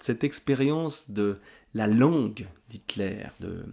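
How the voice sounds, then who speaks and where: The tone is dark and mellow, with ordinary pitch variation, on a very clean recording with a silent background. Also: man. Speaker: book vlogger. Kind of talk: casual monologue review. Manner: halting, repeats words.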